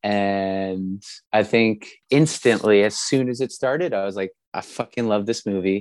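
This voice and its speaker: A man's fairly low voice at a fairly slow pace, ordinary pitch variation, quiet background. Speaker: punk rock singer. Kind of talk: casual chat.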